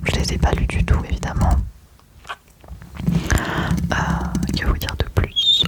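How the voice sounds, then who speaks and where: A woman whispers at a very slow pace with long, frequent pauses amid noticeable background noise. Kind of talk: ASMR whispered chat to camera about favorite series. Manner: whispered, soft-spoken, relaxing.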